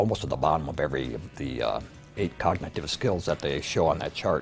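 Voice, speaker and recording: Music plays behind a man with an American accent whose very deep, low pitch moves with ordinary variation. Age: 70s. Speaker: woodworker and brain-training client.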